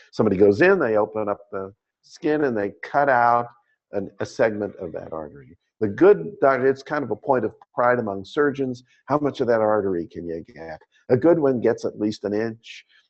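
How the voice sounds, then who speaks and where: A man with an unremarkable speaking voice, medium pitch and lively intonation, talking at a moderate pace with big swings in loudness. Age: 60s. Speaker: optometry lecturer. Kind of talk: lecture. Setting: webinar with live audience.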